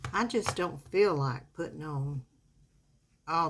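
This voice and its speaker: In a Southern US accent, a woman speaks at a fairly slow pace, her relaxed tone somewhat breathy. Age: 70s. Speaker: makeup vlogger. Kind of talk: casual makeup tutorial chat. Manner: relaxed, chatty.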